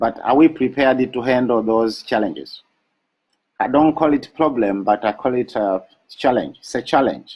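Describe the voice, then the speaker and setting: A man of medium pitch with an African accent. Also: ordinary pitch variation. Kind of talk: motivational webinar talk. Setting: live online broadcast. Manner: slow.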